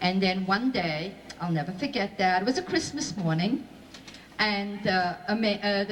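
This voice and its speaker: A woman talks at a moderate pace in a medium pitch. Noticeable background noise runs underneath. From Belgium. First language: Flemish, French and Yiddish. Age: 60s. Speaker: Holocaust survivor speaker. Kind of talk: testimony to school audience.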